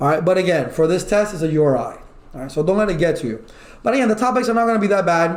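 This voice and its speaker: In a room with audible echo, a man speaks loudly with ordinary pitch variation. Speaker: IT certification instructor. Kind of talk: online lecture. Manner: animated.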